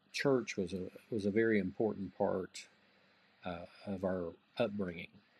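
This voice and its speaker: Speaking with a Southern US accent, a man keeps a fairly low pitch and a moderate pace. His intonation is fairly even. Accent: Southern US (Georgia). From US South, Georgia (Greensboro). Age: 50s. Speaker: music magazine executive. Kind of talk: interview.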